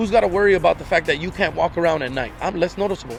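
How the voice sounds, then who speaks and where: Loud and very fast, a man with an American accent and high pitch talks with ordinary pitch variation over music in the background. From Inglewood, Los Angeles, California. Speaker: guest. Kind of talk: casual chat. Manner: animated.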